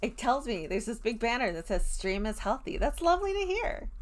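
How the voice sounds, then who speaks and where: A woman speaks at a moderate pace with a high pitch. Her tone is animated, with very wide pitch swings. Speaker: streamer. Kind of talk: live stream chat. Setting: live stream.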